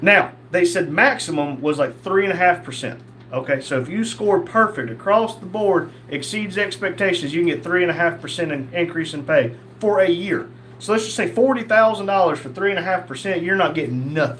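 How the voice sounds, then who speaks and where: With a Southern US accent and lively intonation, a man speaks at a fairly quick pace and a high pitch amid noticeable background noise. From North Carolina. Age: 50s. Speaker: live streamer, former police officer. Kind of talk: casual livestream chat reading viewer comments. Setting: livestream.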